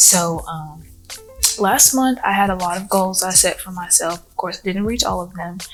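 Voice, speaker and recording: Noticeable background noise sits behind a woman whose intonation is fairly even. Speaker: lifestyle vlogger and entrepreneur. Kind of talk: casual vlog talk. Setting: library.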